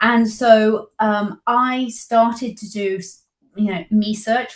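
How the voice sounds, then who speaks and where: A somewhat breathy woman's voice with a British accent. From Britain. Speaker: publisher of parenting resource. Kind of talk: interview.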